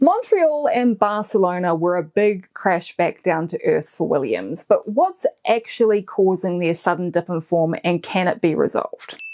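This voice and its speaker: Hardly pausing, a woman with a New Zealand accent speaks at a moderate pace with lively intonation. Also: medium pitch for a woman. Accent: New Zealand accent, self-described as bad. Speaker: Formula One commentary YouTuber. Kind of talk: scripted video commentary.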